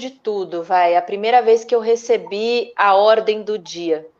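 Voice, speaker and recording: A woman with a fairly high pitch, a normal speaking voice, ordinary pitch variation and a moderate pace. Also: hardly any pauses. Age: 30s. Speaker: actress. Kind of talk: casual interview chat.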